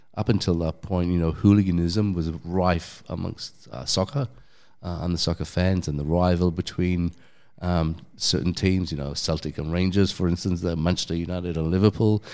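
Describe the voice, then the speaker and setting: A man with a London accent speaks at a moderate pace, his pitch very deep and low and his tone dark and mellow. The intonation stays fairly even, and the recording is very clean with a silent background. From London, England. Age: 50s. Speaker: DJ and former cafe owner. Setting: in person at a gym.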